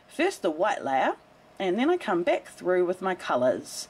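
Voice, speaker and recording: A woman speaks at a medium pitch and a fairly slow pace. Her pitch swings very widely. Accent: New Zealand. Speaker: soap maker. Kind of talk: tutorial voice-over. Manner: upbeat.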